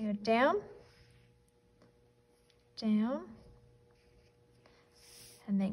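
A woman's voice sounds somewhat breathy. Her pitch variation is ordinary. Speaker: art teacher. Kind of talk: tutorial. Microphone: phone near.

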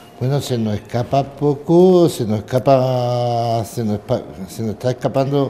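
Fairly slow, mid-range male speech with normal rises and falls in pitch. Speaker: TV host of a religious brotherhood news program. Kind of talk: interview. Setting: inside a church. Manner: halting, many repetitions.

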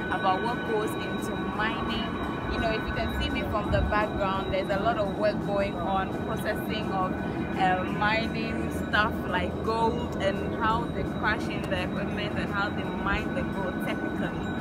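A woman talks at a moderate pace in a dry sound with no echo. Music plays in the background. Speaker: vlogger. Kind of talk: casual vlog chat. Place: open country. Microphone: phone near.

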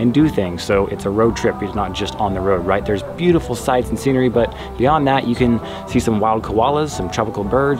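With clear music in the background, a man talks at a fairly quick pace. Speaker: travel vlogger. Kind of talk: casual vlog chat. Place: garden.

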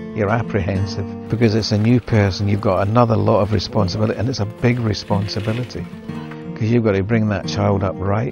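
A man's fairly low voice with ordinary pitch variation, a dry sound with no echo, and clear music in the background. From Scotland, Dunoon. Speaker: documentary interviewee. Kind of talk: life story interview narration. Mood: reflective, earnest. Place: home room.

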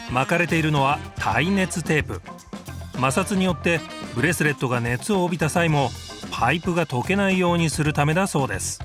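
A man speaks with a fairly high pitch and ordinary pitch variation. Music plays in the background. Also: moderate pace. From Tokyo. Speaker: actor, narrator. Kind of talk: TV documentary narration.

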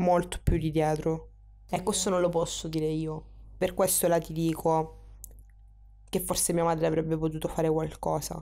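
Over music in the background, a woman with a fairly low pitch speaks at a moderate pace in a monotone, flat intonation, with very even loudness and long, frequent pauses. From Sicily, Catania. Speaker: interviewee in documentary. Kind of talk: personal testimony. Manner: halting.

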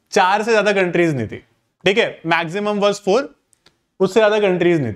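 Fairly even intonation carries the speech at a moderate pace. The background is quiet. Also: man. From India. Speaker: exam prep teacher. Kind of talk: online class lecture. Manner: code-switching Hindi and English. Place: classroom.

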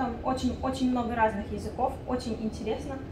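Noticeable background noise runs under this recording. A woman talks at a fairly quick pace. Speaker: business incubator coordinator. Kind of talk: informational presentation. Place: meeting room.

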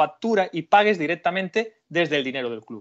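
Against a quiet background, a man talks at a fairly quick pace, his pitch making very wide swings. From Spain, Galicia (Carballiño). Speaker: criminal lawyer. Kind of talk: legal explanation in interview.

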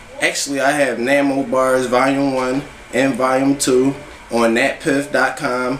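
A man speaks in a flat monotone at a very even loudness. The room echo is audible, with light background noise. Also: fairly slow pace. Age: 20s. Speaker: rapper; interviewee. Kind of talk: interview. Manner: casual, filler-heavy. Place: home room. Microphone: camera far.

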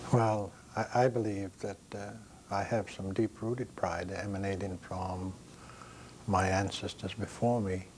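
Over light background noise, a man speaks at a fairly slow pace in a fairly low, monotone, flat voice with long, frequent pauses. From Maine, Passamaquoddy reservation. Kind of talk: interview. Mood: calm, reflective, proud. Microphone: lapel.

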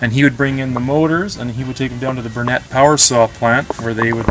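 A man speaks while noticeable background noise carries on behind him. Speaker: guide. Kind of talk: interview answer. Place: workshop. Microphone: phone near.

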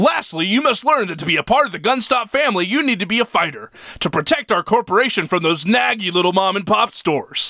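Projecting a raised voice, a man speaks at a very fast pace with hardly any pauses, his pitch high and his intonation lively. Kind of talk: instructional corporate video narration. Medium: machinima. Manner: bright, bland, cheerfully cynical.

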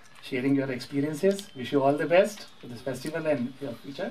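A man with an Indian accent speaks over light background noise. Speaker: press conference moderator. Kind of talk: press conference moderation. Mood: polite, gracious. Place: hall.

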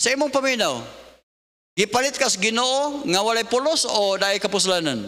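Bright and sharp in tone, the voice is raised and projected, moving at a fairly quick pace with lively intonation. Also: man, extremely high pitch for a man, quiet background. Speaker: preacher. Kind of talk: sermon. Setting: church. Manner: emphatic pulpit delivery, repeating verses and asking 'Amen?'. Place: church. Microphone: podium.

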